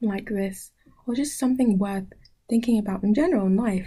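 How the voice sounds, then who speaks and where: Her voice has a dark, mellow tone and is somewhat breathy. The woman keeps her intonation fairly even. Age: 20s. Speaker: podcast host. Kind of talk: casual chat. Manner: halting, with frequent self-corrections.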